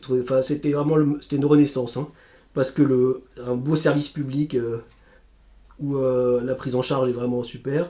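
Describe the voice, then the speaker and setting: Medium in pitch, a man's voice has a dark, mellow tone and monotone, flat intonation. He moves at a moderate pace with long, frequent pauses. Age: 40s. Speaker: stroke survivor, civil servant. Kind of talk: testimony. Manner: halting, with repetitions.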